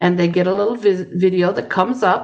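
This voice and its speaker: A woman's fairly low voice at a moderate pace. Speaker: ESL teacher. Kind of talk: tutorial.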